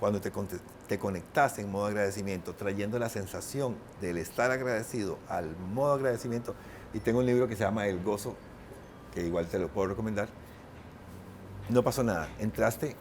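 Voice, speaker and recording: A man's fairly low voice at a fairly quick pace, with ordinary pitch variation and long, frequent pauses. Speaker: painter and writer. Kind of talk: interview conversation. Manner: fast.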